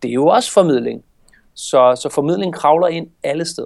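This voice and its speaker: A man talks with ordinary pitch variation. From Denmark, Copenhagen. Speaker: communication trainer and agency owner. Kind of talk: casual interview. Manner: fast, talkative.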